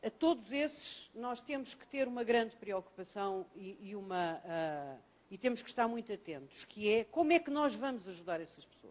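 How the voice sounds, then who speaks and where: A woman talks at a moderate pace. Her pitch swings very widely and her loudness swings a lot. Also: fairly high pitch for a woman. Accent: European Portuguese. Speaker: professor. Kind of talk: lecture. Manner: hesitant fillers (ah, eh).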